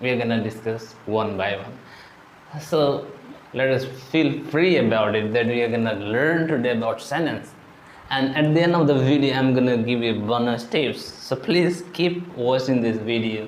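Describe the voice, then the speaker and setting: Speaking at a moderate pace with an Indian accent, a man uses a medium pitch and ordinary pitch variation, with audible room echo and noticeable background noise. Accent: Indian English (Odia). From India, Odisha. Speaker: English teacher. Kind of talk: tutorial.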